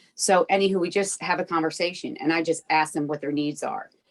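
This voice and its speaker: Recorded with a dry, close sound and no echo, a woman speaks at a fairly low pitch with ordinary pitch variation. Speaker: peer recovery advocate. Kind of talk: interview. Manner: fast; animated.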